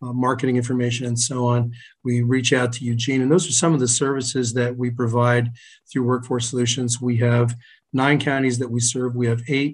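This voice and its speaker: Monotone with flat intonation, a man of medium pitch speaks in a somewhat breathy voice. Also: fairly quick pace. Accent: American. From New Jersey. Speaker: workforce agency moderator. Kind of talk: panel moderation.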